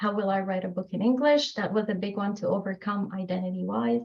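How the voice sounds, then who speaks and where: A woman speaks at a moderate pace in a medium-pitched, somewhat breathy voice. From Morocco. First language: French. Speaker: author. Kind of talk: podcast interview.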